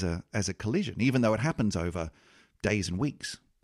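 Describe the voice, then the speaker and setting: A man talks at a fairly quick pace with lively intonation and an Australian accent, his pitch fairly low. The recording is very clean with a silent background and a dry, close sound with no echo. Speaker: podcast host and producer. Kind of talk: casual chat. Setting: studio.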